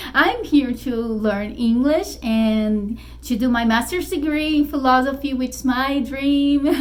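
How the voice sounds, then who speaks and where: A woman's high voice at a fairly slow pace with hardly any pauses and ordinary pitch variation, amid noticeable background noise and audible room echo. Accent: Brazilian Portuguese. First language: Portuguese. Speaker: spiritual YouTuber and author. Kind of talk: casual vlog talk to camera. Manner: halting, many fillers.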